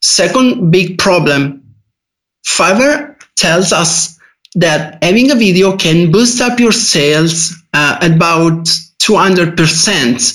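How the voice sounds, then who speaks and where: Someone with an Italian accent speaks at a very slow pace, their loudness very even throughout. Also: man, high pitch for a man, lively intonation. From Italy. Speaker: freelance IT developer. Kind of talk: casual podcast interview. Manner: halting.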